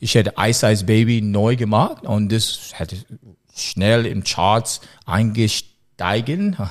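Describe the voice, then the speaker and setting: A man with an English accent, fairly low in pitch, at a very slow pace. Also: ordinary pitch variation. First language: English (speaking German). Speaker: music producer. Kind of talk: casual interview. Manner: halting.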